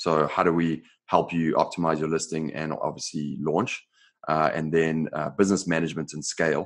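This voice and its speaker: Speaking at a moderate pace, a man with an American accent has a very deep, low pitch. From South Africa, Johannesburg. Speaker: software company co-founder. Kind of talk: podcast interview. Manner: many fillers and repetitions.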